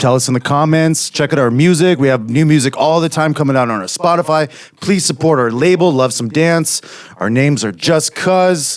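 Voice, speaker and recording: Here a man talks in a normal speaking voice at a fairly high pitch. His pace is moderate, with ordinary pitch variation. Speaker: podcast host, musician. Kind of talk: casual banter.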